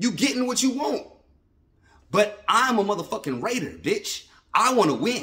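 Raising and projecting his voice, a man speaks in a bright, sharp, animated tone at a high pitch for a man, leaving long, frequent pauses. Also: lively intonation, moderate pace. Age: 30s. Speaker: sports fan vlogger. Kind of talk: casual rant. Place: home room. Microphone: phone near.

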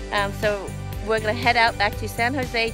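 Clear music plays in the background as a woman speaks in a dry sound with no echo. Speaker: vlogger. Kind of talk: casual vlog chat. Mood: cheerful, laughing. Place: beach. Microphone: phone near.

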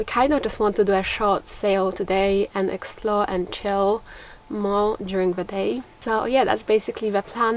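A woman speaks at a fairly slow pace in a monotone, flat intonation. The sound is dry with no echo, with light background noise. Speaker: sailing vlogger. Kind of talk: casual vlog chat. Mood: relaxed, cheerful. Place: boat. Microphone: camera far.

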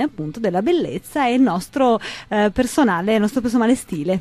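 A woman talks at a fairly quick pace with very wide pitch swings. Her pitch is fairly high, and the sound is dry with no echo. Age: 30s. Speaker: image consultant; interview guest. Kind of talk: radio interview. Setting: radio studio. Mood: warm, chatty. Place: studio. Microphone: studio mic.

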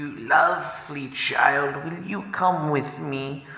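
In a put-on character voice with a clear echo, a man speaks at a very slow pace. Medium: read story. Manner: honeyed and coaxing.

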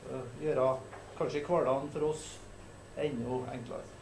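A man's voice comes with audible room echo and light background noise. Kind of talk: formal meeting opening remarks. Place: meeting room.

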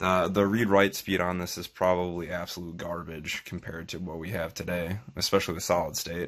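A man talks at a fairly quick pace with hardly any pauses in a very deep, low, monotone voice with flat intonation. The background is quiet. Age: 20s. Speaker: tech tutorial youtuber. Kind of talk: tutorial. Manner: casual, hesitant with fillers. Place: home room. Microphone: phone near.

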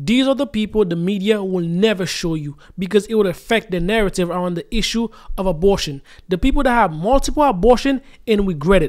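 A man's high pitch and lively intonation at a fairly quick pace, against a quiet background. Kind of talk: video commentary. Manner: preachy, emphatic. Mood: earnest, moralizing. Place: home room. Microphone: studio mic.

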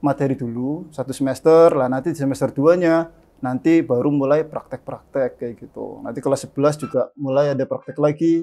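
A man's fairly high voice with fairly even intonation, a moderate pace and hardly any pauses. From Indonesia, Brebes, Central Java; Central Java, Indonesia. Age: 30s. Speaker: vocational school automotive department head; automotive teacher guest. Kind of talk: casual interview. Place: studio.

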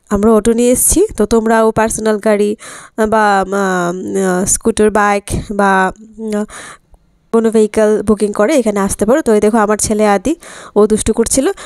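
Against a quiet background, a woman speaks with fairly even intonation in a dry sound with no echo. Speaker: vlogger. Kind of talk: casual vlog chat. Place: cafe. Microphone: phone near.

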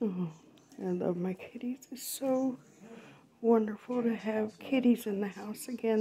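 Over light background noise, a woman talks at a fairly slow pace. Her tone is dark and mellow, somewhat breathy, with fairly even intonation. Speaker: cat owner. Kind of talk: casual home video narration. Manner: whispered. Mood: affectionate, tender. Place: home room. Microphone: phone near.

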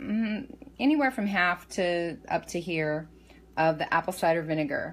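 A woman's fairly low-pitched voice at a very slow pace. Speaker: home meal prep vlogger. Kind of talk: casual tutorial chat. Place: kitchen. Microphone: phone near.

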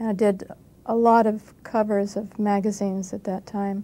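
A woman in a General American accent, medium in pitch, with a dark, mellow tone and monotone, flat intonation. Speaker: actress. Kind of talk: casual interview recollection. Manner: laughing, light-hearted, self-deprecating. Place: studio.

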